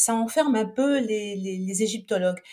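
A woman's fairly high voice with a dark, mellow tone, ordinary pitch variation and a moderate pace. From France, Saint-Étienne. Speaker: Egyptologist and author. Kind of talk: interview. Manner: hesitant, many fillers.

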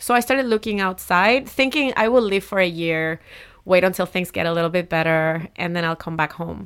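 With a Spanish accent, a woman speaks fairly quickly at a medium pitch with lively intonation, on a very clean recording with a silent background. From Puerto Rico, Humacao. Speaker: city council member and community organizer. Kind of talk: interview.

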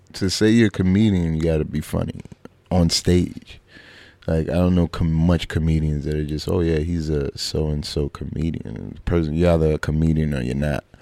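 A man with a very deep, low pitch and a dark, mellow tone, in a Brooklyn accent, at a moderate pace with fairly even intonation. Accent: New York (Brooklyn). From Brooklyn, New York (Flatbush). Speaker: comedian and actor. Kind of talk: casual chat.

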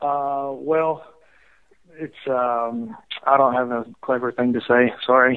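In an American accent, the speaker talks at a very slow pace with long, frequent pauses and monotone, flat intonation. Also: man, medium pitch for a man. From Alabama, US South. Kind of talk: casual game segment.

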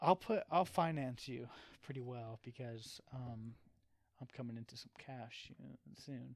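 Speaking at a fairly slow pace, a man with a medium pitch and ordinary pitch variation shows big swings in loudness. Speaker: podcast co-host. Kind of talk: casual chat. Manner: halting.

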